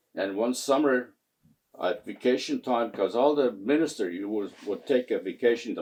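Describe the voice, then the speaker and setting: A man with a Canadian accent, speaking at a moderate pace. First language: Mohawk. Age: 80s+. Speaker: community elder, Mohawk translator. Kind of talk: interview, storytelling. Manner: halting, many fillers.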